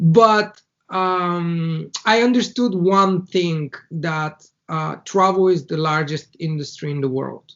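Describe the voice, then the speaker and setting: A man with a high pitch speaks in a Bulgarian accent at a very slow pace. His pitch varies in an ordinary way. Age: 30s. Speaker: entrepreneur. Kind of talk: interview. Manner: halting.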